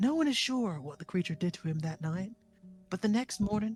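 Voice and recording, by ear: Reading aloud in a natural voice, this speaker uses lively intonation.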